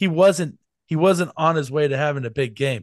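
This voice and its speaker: In an animated tone, a man speaks at a moderate pace with ordinary pitch variation over a quiet background. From US Midwest, Kansas City. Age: 40s. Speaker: football fan guest. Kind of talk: casual chat.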